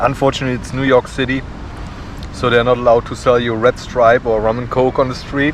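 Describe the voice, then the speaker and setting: A man talks at a very fast pace in a medium pitch, his intonation monotone and flat, with noticeable background noise behind him. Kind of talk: casual food vlog talk to camera.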